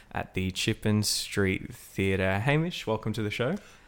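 A plain, everyday voice from a man, moderate in pace, fairly low-pitched, its pitch variation ordinary. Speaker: podcast host. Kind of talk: casual interview chat.

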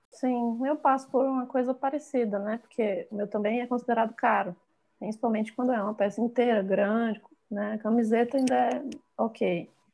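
The woman has an unremarkable speaking voice. She talks at a moderate pace with fairly even intonation. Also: fairly high pitch for a woman. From Bahia, Brazil. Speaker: fashion designer and visual artist. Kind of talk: casual interview.

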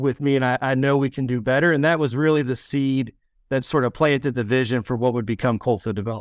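With an American accent and an unremarkable speaking voice, a man speaks at a fairly quick pace and medium pitch with fairly even intonation, on a very clean recording with a silent background. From West Virginia. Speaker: nonprofit executive director. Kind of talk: interview.

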